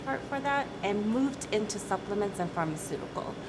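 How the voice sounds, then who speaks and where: A woman with an American accent talks at a fairly quick pace with very wide pitch swings. Audible room echo and noticeable background noise surround her. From US Midwest, Michigan. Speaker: company CEO. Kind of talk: interview.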